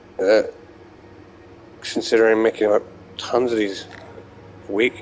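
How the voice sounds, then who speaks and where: A man talks over noticeable background noise. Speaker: gamer recording gameplay diary. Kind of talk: casual gameplay commentary. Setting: playing in bed. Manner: halting, stuttering.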